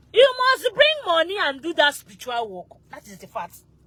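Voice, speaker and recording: Her pitch swings very widely. The woman is heard over noticeable background noise. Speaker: spiritual practitioner. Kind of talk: live stream Q&A.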